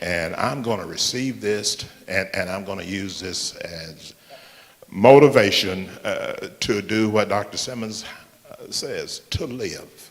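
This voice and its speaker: There is noticeable background noise. Over it, a man talks very slowly. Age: 60s. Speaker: church member. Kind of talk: audience comment. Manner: halting.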